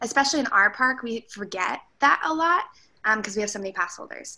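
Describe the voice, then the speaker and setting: Bright and sharp in tone, a woman's voice rises and falls with lively intonation. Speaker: theme park employee. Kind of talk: casual book discussion. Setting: video call. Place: home room. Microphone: video call.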